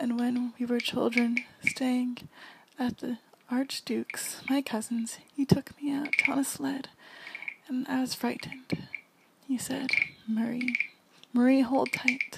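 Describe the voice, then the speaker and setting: A soft-spoken woman's high, monotone, flat voice, fairly slow with long, frequent pauses and noticeable background noise. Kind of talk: poetry reading.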